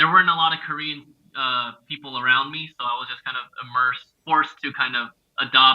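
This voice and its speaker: Speaking with a Californian accent, a man uses a fairly high voice and a fairly quick pace. His intonation is fairly even, while his loudness swings widely. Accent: Californian American. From Los Angeles. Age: 30s. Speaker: comedian. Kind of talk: casual chat.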